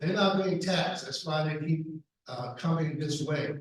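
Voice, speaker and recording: There is audible room echo as a man with a fairly high pitch speaks at a moderate pace with fairly even intonation. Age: 70s. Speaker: political candidate. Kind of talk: candidate forum answers. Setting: public forum with mic.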